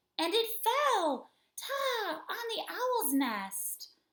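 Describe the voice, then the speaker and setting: A woman puts on a squeaky character voice that leaps through very wide pitch swings. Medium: read story. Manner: nervous.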